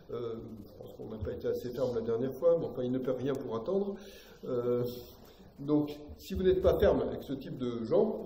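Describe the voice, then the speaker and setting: There is audible room echo and noticeable background noise. A man talks with long, frequent pauses. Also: big swings in loudness. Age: 60s. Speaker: political commentator, lecturer. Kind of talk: public lecture. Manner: hesitant, many fillers.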